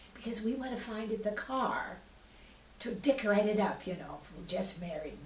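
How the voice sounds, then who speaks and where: A woman at medium pitch speaks at a fairly quick pace with ordinary pitch variation, with audible room echo and noticeable background noise. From US Pacific Northwest. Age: 80s+. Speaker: oral history interviewee. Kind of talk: oral history interview.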